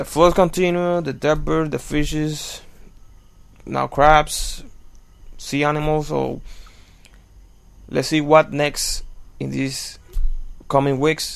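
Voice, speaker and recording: A man with a non-native accent talks at a very slow pace, with long, frequent pauses. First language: not English. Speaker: news commentary video maker. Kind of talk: casual commentary. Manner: halting.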